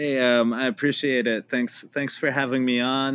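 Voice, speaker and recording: In a plain, everyday voice with an American accent, a man speaks at medium pitch and a moderate pace. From California, Palo Alto. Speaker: professor. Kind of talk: casual chat. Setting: studio.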